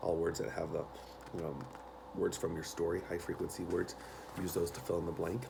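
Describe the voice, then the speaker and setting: A soft-spoken man at a fairly quick pace, with long, frequent pauses and audible room echo. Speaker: elementary school teacher. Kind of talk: tutorial. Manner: halting.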